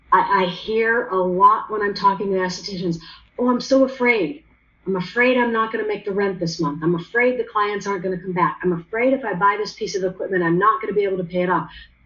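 A woman's medium-pitched voice moves at a fairly quick pace, its pitch varying in an ordinary way. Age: 50s. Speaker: esthetician and business consultant. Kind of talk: interview. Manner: animated.

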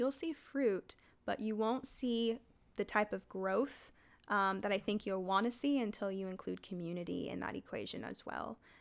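A woman speaks at a medium pitch with a Californian accent. Her pace is moderate. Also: ordinary pitch variation, very clean recording, silent background. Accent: Californian American. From US West Coast, San Jose, California. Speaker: high school teacher. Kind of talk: casual interview.

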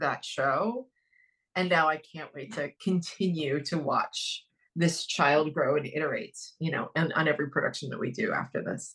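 An ordinary speaking voice from a woman with an American accent, fairly low in pitch, at a moderate pace with ordinary pitch variation. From US Midwest, Dayton, Ohio. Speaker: theater director. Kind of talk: interview.

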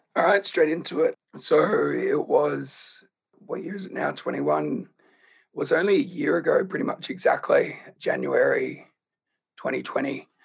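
This speaker talks at a moderate pace with an Australian accent. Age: 20s. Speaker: cancer survivor. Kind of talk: interview. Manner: quiet, hard to project.

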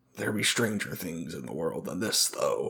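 This man puts on a character voice. His pace is moderate.

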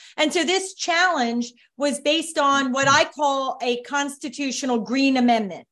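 A woman is speaking. The background is quiet. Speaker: environmental attorney and author. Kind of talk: casual chat. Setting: video call.

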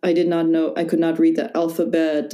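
This woman speaks with an American accent at a moderate pace. Her pitch is fairly low and her tone is dark and mellow. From US Midwest, Wisconsin. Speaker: yoga teacher. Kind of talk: casual chat.

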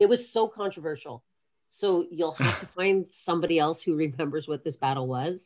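A woman with a plain, everyday voice, at a fairly quick pace with ordinary pitch variation. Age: 40s. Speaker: breaker and dance artist. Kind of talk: casual interview.

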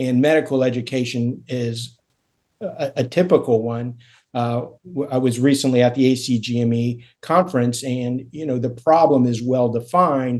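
Here a man talks in a normal speaking voice at medium pitch, his intonation fairly even. He goes at a fairly slow pace over a quiet background. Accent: American. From Florida, Miami. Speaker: surgeon and executive coach. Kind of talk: interview conversation.

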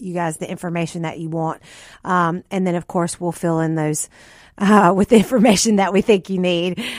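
A woman speaks at a fairly quick pace in an ordinary speaking voice, with ordinary pitch variation. The recording is very clean, with a silent background. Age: 40s. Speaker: natural health podcast host. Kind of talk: health talk interview. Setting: radio studio.

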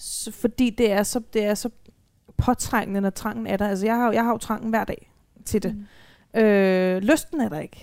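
A woman speaks in a plain, everyday voice at a fairly high pitch and fairly slow pace, with fairly even intonation on a very clean recording with a silent background. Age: 20s. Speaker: social psychiatry worker with lived experience of self-harm. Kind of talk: live panel talk. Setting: live talk event.

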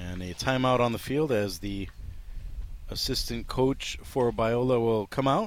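A man speaks at a fairly slow pace and a medium pitch with ordinary pitch variation. His tone is warm. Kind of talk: live play-by-play baseball commentary. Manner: fluent, energetic play-by-play patter, calling each pitch and count briskly; warm and friendly, chatting with his broadcast partner.

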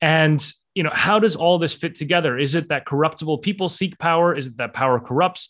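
A man's normal speaking voice at a fairly high pitch and fairly quick pace, with lively intonation, on a very clean recording with a silent background. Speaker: author; political scientist. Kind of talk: interview.

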